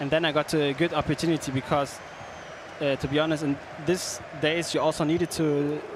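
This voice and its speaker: Over noticeable background noise, a man with a German accent speaks fairly quickly at a fairly high pitch, flat and monotone, with long, frequent pauses. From Germany, Hamburg. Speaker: esports pro player. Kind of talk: interview. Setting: stage. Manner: halting.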